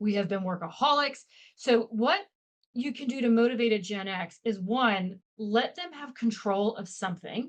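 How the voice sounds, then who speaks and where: A woman speaks in an unremarkable speaking voice, fairly high in pitch, at a moderate pace. Her intonation is lively and her loudness swings widely. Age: 50s. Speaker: leadership expert. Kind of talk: podcast interview.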